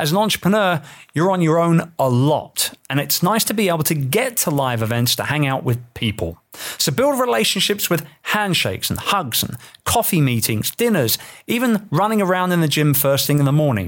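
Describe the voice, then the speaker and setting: In an English accent, a man with a fairly high pitch speaks at a moderate pace with very wide pitch swings and very even loudness, on a very clean recording with a silent background. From England. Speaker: entrepreneur and author. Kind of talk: reading aloud from own book.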